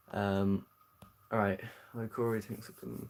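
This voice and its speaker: A man with a British accent. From southern England. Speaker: aquarium hobbyist streamer. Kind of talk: live stream Q&A. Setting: home live stream. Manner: hesitant, many fillers.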